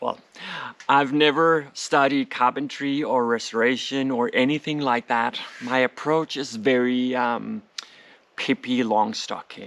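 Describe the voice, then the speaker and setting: A man with a Danish accent speaks at a fairly slow pace with a medium pitch and fairly even intonation. Noticeable background noise runs underneath. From Denmark, Copenhagen suburb. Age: 40s. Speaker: home renovation vlogger. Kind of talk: vlog narration; Q&A vlog. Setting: outdoors in garden.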